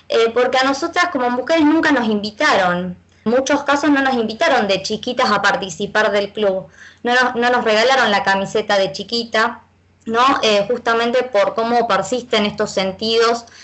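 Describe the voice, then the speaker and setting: Her voice is an ordinary speaking voice, as a woman talks at a fairly high pitch and a moderate pace with ordinary pitch variation and very even loudness. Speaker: feminist football fan activist. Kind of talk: casual chat.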